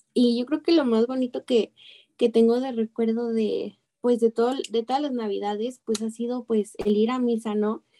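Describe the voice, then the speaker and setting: Dark and mellow in tone, a woman with a Mexican accent speaks at a moderate pace and a fairly high pitch. Her intonation is fairly even, and the sound is dry and close with no echo. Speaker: radio show panelist. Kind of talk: casual spiritual radio talk.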